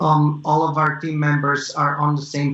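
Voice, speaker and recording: This man has a fairly high pitch and a non-native accent. He talks at a fairly slow pace. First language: not English. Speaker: tech startup founder. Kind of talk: interview. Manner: halting, many fillers.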